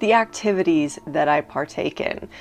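A woman's voice at a moderate pace, with fairly even intonation. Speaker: book content creator. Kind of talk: casual vlog chat. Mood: warm, cheerful, laughs often. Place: home room.

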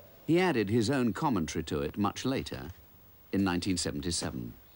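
Vocal fry runs through this man's speech. He talks very fast, with very wide pitch swings. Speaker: narrator. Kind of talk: documentary narration.

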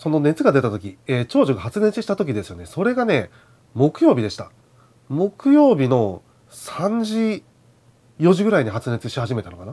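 At a moderate pace, a man talks at a fairly high pitch with very wide pitch swings. His loudness swings a lot. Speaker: outdoor gear YouTuber. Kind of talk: casual vlog monologue. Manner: halting, many fillers. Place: home room. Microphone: lapel.

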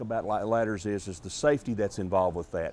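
The man's pitch moves in an ordinary way while he talks very fast. No echo colors the dry sound. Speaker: TV home improvement host. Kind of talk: tutorial. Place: shop.

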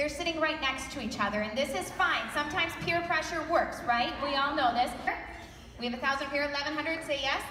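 Over noticeable background noise and audible room echo, a woman speaks fairly quickly in a raised, projected voice, high-pitched and with ordinary pitch variation. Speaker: charity auctioneer. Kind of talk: live charity auction calling with banter. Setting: live gala event. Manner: fast, quick-witted, humorous. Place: hall. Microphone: pa.

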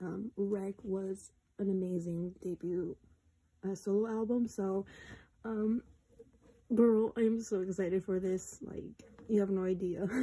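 A woman speaks at a fairly slow pace with long, frequent pauses, her intonation monotone and flat. Her tone is dark and mellow, and somewhat breathy. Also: medium pitch for a woman. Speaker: YouTuber. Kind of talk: casual unboxing talk to camera.

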